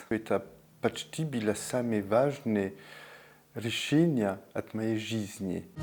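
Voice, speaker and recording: A man with a French accent at medium pitch and ordinary pitch variation, speaking very slowly with long, frequent pauses over music in the background. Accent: French accent in Russian. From France. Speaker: bathhouse steam master. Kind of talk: interview answer.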